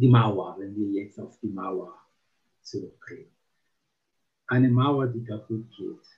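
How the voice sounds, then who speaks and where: A man with an Italian accent speaks very slowly in a somewhat breathy voice, keeping a medium pitch and fairly even intonation. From Italy. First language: Italian (speaking German). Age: 50s. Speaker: psychomotor therapist. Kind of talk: interview. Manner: halting, many fillers.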